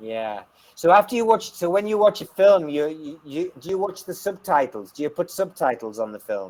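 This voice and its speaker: A man in an English accent, high-pitched, at a moderate pace, with very wide pitch swings and big swings in loudness. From England. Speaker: online English tutor. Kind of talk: casual chat.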